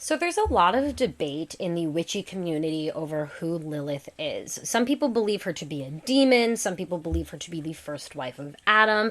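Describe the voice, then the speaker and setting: A woman's fairly low voice, fairly quick with hardly any pauses, very wide pitch swings and big swings in loudness. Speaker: podcast host. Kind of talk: solo podcast talk. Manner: fast; casual, chatty.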